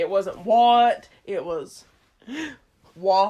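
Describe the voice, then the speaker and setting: A woman speaks with a Southern US accent. Her voice sits fairly high with ordinary pitch variation. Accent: southern drawl. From eastern Kentucky. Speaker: podcast co-host. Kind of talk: casual chat.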